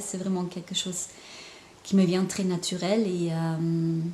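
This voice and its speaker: A woman's medium-pitched voice at a fairly slow pace, fairly even in intonation, over noticeable background noise. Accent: slight German. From Germany. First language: German (speaking French). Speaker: intuitive painter and spiritual counselor. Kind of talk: casual vlog monologue. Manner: halting, many hesitations.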